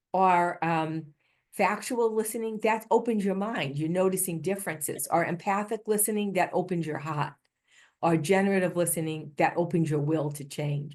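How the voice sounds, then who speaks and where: With a Boston accent, a woman of fairly low pitch speaks at a moderate pace with ordinary pitch variation against a quiet background. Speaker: healthcare improvement leader, keynote speaker. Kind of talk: conference keynote talk.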